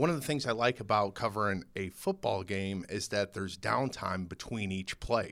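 In a plain, everyday voice, a man speaks at a moderate pace with hardly any pauses, his fairly low pitch showing ordinary variation in a very clean recording with a silent background. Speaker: podcast host. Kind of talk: casual interview chat.

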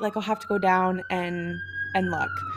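A woman speaks at a fairly slow pace. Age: 20s. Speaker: podcast host. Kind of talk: casual chat. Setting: in person, sharing one microphone.

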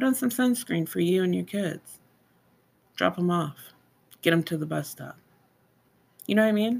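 A woman speaks with a fairly low pitch, an animated tone and lively intonation at a moderate pace. Her pauses are long and frequent. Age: 30s. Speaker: esthetician podcast co-host. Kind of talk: casual chat.

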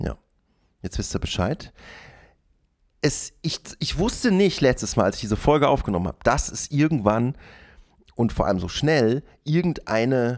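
Very wide pitch swings from a medium-pitched man, moderate pace, long and frequent pauses, in a very clean recording with a silent background. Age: 40s. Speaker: solo podcaster. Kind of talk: casual monologue. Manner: rambling with many fillers.

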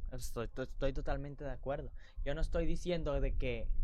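A man talks at a fairly quick pace with a Mexican accent. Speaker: podcast co-host. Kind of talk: casual chat. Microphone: new sponsored microphone.

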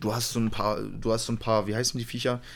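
A man is talking. His pace is very fast. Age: 20s. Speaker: podcast co-host. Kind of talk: casual chat. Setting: home recording at PC.

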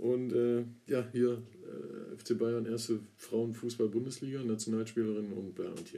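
A man's dark, mellow tone at medium pitch, fairly slow and in a monotone, flat intonation. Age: 30s. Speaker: podcast co-host. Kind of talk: casual chat.

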